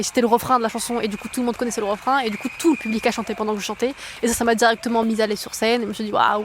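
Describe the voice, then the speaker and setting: A woman speaks at a very fast pace in a monotone, flat intonation, with noticeable background noise behind her. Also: fairly high pitch for a woman. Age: 20s. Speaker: singer. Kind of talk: testimony. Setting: outdoors in a park. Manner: hesitant, many fillers.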